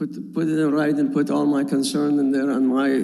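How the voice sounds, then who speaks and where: A man talks at a moderate pace, with audible echo from the room around him. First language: not English. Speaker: property owner applicant. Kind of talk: public hearing testimony. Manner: halting.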